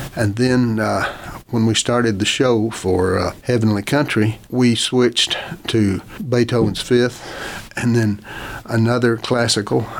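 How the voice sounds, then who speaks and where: With an American accent, a man speaks at a fairly slow pace at medium pitch. His intonation is fairly even, his loudness very even, and there is noticeable background noise. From Oklahoma. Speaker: advertising executive and author. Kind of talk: casual interview. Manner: halting.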